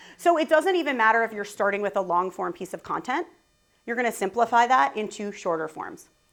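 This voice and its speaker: Animated in tone, a woman's voice makes very wide pitch swings. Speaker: conference speaker. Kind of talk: conference talk. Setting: stage with audience. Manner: fast.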